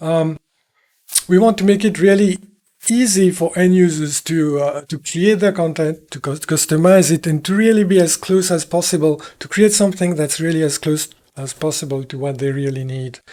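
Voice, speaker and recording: This man has a high pitch and a dark, mellow tone. He talks at a moderate pace with ordinary pitch variation. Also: big swings in loudness. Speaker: virtual world software developer. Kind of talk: recorded talk. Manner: halting.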